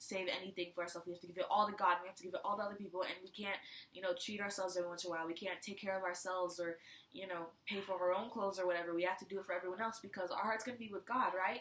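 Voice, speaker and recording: Very fast speech from a woman at medium pitch, big swings in loudness, noticeable background noise. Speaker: youth devotional speaker. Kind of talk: devotional talk. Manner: casual, with fillers.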